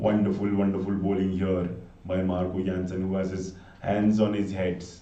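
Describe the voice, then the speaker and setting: At a moderate pace, a man speaks in a very deep, low pitch with a dark, mellow tone and monotone, flat intonation, with audible room echo. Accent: Indian. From north India (Gurgaon, Haryana). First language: Hindi. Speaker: live cricket commentator. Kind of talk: live commentary.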